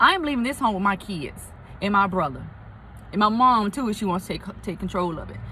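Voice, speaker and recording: A woman's voice at a fairly high pitch. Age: 40s. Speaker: lupus vlogger. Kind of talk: casual vlog. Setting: in a car.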